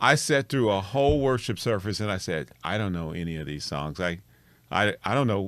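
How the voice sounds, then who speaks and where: A man's plain, everyday voice with an American accent, fairly low in pitch, at a moderate pace with lively intonation, on a very clean recording with a silent background. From Kansas City, US Midwest. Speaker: podcast co-host, church musician. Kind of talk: casual chat.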